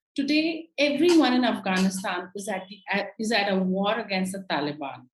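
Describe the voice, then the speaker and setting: Her intonation is lively and her voice somewhat breathy. The woman keeps a moderate pace. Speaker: journalist, interviewer. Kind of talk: news interview hosting.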